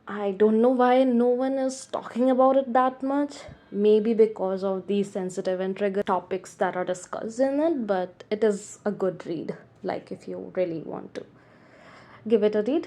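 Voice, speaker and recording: A woman's dark, mellow voice, fairly high in pitch, with ordinary pitch variation and a non-native accent. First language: not English. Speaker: book reviewer. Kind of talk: casual book review monologue. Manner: halting, many restarts.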